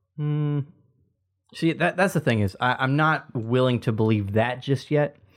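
Fairly slow and very even in loudness, this is a plain, everyday voice with ordinary pitch variation. The recording is very clean, with a silent background. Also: man, medium pitch for a man. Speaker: podcast co-host. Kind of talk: casual chat. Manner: joking, interrupting.

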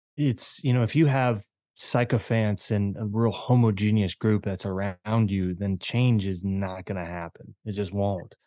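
A man with an American accent and a dark, mellow tone speaks fairly slowly with hardly any pauses and ordinary pitch variation against a quiet background. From Maryland, US. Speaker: sports psychology coach. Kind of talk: interview conversation. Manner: rambling with fillers.

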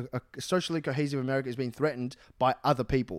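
Pitched fairly high, a man talks at a fairly quick pace. The recording is very clean with a silent background, and the sound is dry and close with no echo. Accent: Australian. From Australia. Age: 30s. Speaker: comedian. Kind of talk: casual chat.

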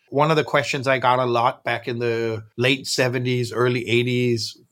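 A man with a Danish accent talks at a moderate pace and medium pitch. His intonation is monotone and flat. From Denmark, Copenhagen. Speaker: founder of a nonprofit. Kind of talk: interview.

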